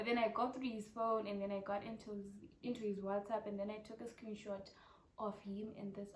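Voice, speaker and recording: Over noticeable background noise, a woman with a Zimbabwean accent talks at a fairly quick pace and medium pitch in a monotone, flat intonation. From Zimbabwe, Harare. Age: 20s. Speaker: YouTuber, medical student. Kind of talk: casual Q&A vlog. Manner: chatty, repetitive.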